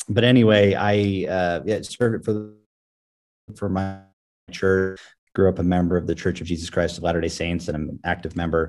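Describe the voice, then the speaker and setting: Speaking with an American accent at a moderate pace, the voice keeps fairly even intonation and takes long, frequent pauses. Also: man. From Houston, Texas. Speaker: tech entrepreneur. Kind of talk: casual interview. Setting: remote call.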